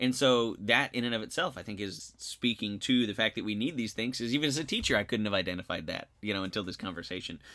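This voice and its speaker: A man with an American accent talks at a very fast pace with hardly any pauses, in a bright, sharp tone at medium pitch with ordinary variation. The recording is very clean, with a silent background. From various US places, military family. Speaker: high school social studies teacher and podcast co-host. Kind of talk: casual podcast discussion.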